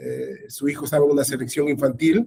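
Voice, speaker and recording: A man with a fairly high voice speaks at a moderate pace with fairly even intonation, and the sound is dry and close with no echo. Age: 60s. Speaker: sports journalist. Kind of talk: interview. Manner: halting, many repetitions.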